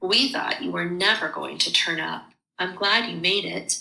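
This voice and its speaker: Medium-pitched and raspy, a woman's put-on character voice. She moves at a moderate pace. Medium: read story. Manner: scornful, dignified.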